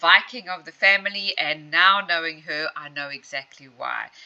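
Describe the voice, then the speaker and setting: A woman talks at a moderate speed while noticeable noise runs in the background. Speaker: hypnotherapist. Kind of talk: client interview, conversational.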